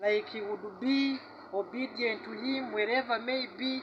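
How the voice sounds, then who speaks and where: The speaker has a strong Ugandan accent. The pace is very slow. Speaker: tour guide. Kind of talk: guided tour storytelling.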